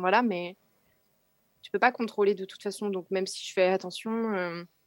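At a moderate pace, this woman talks with a medium pitch. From Burgundy, France. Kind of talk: testimony.

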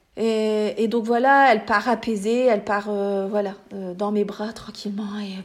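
Her voice is fairly high for a woman, with monotone, flat intonation. The woman speaks at a fairly slow pace over noticeable background noise. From France, small village. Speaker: pediatric nursing assistant sharing birth story. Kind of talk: testimony. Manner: halting, many fillers and repetitions.

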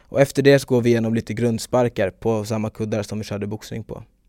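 A man's dark, mellow, mid-pitched voice at a fairly quick pace, recorded dry and close with no echo. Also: very clean recording, silent background. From Stockholm, Sweden. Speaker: taekwondo athlete and club owner. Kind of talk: casual interview.

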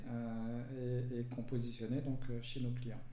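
Audible room echo surrounds a man with a medium pitch. He speaks at a fairly slow pace with monotone, flat intonation. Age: 50s. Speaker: entrepreneur. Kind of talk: interview.

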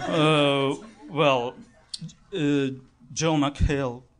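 In a Russian accent, a man speaks in a flat monotone at a fairly high pitch. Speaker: audience member, fan. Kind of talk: on-stage interview. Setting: stage with audience. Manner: halting.

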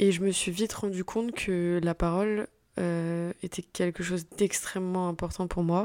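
At a fairly slow pace, a woman delivers her words in a monotone, flat intonation. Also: fairly low pitch for a woman. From Paris region, France. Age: 20s. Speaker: podcaster, business student. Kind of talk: solo monologue introducing podcast. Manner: hesitant, many fillers.

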